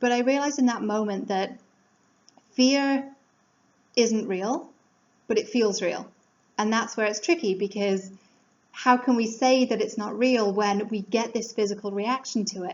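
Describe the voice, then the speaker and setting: A woman with an English accent talks at a moderate pace and a fairly high pitch, leaving long, frequent pauses. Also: ordinary pitch variation. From England. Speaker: life coach. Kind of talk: motivational talk. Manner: casual, conversational.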